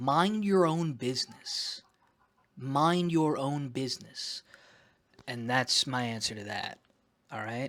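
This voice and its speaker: A man's voice shows ordinary pitch variation on a very clean recording with a silent background. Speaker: vlogger documenting weight loss. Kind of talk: casual vlog monologue. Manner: loud; rambling, halting with fillers.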